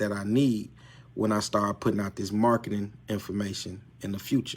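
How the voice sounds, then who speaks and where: On a very clean recording with a silent background, a man talks at a fairly quick pace in a fairly low voice. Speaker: credit repair coach. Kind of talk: live stream tutorial. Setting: live video stream. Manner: unscripted, repetitive.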